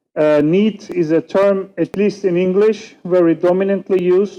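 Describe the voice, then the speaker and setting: With a Turkish accent, a man speaks at a fairly slow pace in a high pitch, with a dark, mellow tone and fairly even intonation. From Turkey. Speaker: political scientist and youth researcher. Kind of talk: conference panel talk. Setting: conference stage with audience.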